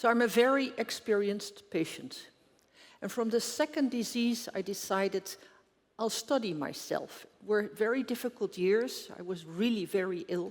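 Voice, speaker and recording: A woman speaks with a Dutch accent. Her pitch is fairly high. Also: ordinary pitch variation, moderate pace. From Netherlands. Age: 70s. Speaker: doctor and health researcher. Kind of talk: conference talk. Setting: stage with audience.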